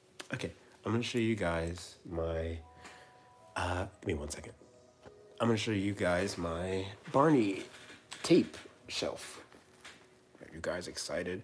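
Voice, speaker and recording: Music plays behind a man with a very deep, low pitch. He talks at a fairly slow pace with ordinary pitch variation. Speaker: streamer. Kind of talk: casual chat. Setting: live stream. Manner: halting.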